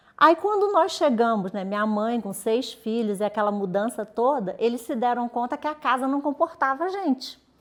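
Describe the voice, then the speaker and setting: In a Rio de Janeiro accent, the speaker has a relaxed tone and a moderate pace, with very wide pitch swings and hardly any pauses. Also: woman, high pitch for a woman. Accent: carioca accent, noticeable. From Rio de Janeiro, Brazil; later Minas Gerais. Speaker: journalist and editor. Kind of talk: interview.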